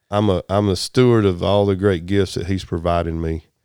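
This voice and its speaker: With a Southern US accent, a man speaks at a moderate pace in a dark, mellow tone with fairly even intonation, and the sound is dry and close with no echo. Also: very clean recording, silent background. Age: 50s. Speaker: telecom business owner. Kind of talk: casual interview chat.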